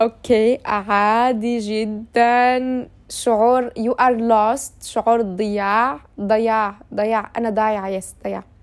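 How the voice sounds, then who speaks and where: Very slowly, a woman speaks in a fairly high pitch with monotone, flat intonation. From Syria, Aleppo. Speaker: podcaster. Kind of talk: casual monologue. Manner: casual with English fillers.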